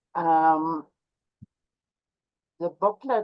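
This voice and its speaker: Speaking at a very slow pace, a woman with a Canadian Arctic accent uses a fairly low pitch and fairly even intonation. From Canadian central Arctic, Inuit. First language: Inuktitut. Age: 70s. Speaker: Inuit elder. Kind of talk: talk to online audience.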